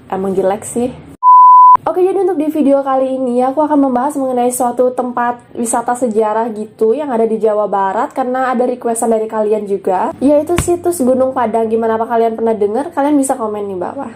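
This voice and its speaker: A woman talks very fast in a high voice with ordinary pitch variation, over noticeable background noise. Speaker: YouTuber. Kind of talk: explainer vlog. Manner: casual, chatty.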